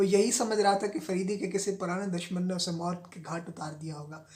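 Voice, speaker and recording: Here a man speaks at a high pitch. His intonation stays fairly even. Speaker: novel reader. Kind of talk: audiobook reading of a novel.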